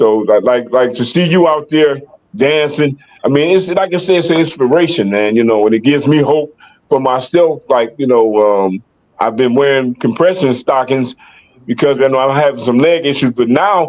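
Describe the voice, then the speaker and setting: Using a normal speaking voice, a man with an American accent talks at a moderate pace in a fairly high pitch, with ordinary pitch variation and very even loudness. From US, Detroit Michigan. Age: 60s. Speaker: podcast host, locking dancer. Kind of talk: casual chat.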